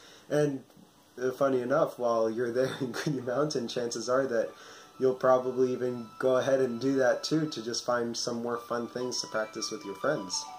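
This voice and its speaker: A man with an American accent speaks at medium pitch and a moderate pace. His intonation is fairly even, with music in the background. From US, New York City. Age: 20s. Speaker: former martial arts student. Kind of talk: testimonial interview.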